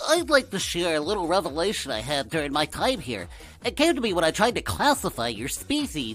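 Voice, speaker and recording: Clear music plays behind a man doing a put-on character voice. He talks at a very fast pace with very wide pitch swings. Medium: voice reel.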